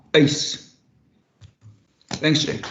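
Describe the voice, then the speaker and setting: A man with a South African accent, with audible room echo. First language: Afrikaans. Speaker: councillor. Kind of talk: council meeting debate.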